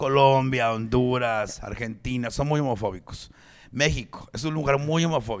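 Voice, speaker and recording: This man talks at a moderate pace in a medium pitch, with an animated tone. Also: ordinary pitch variation. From Mexico. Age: 40s. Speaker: stand-up comedian. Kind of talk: casual chat.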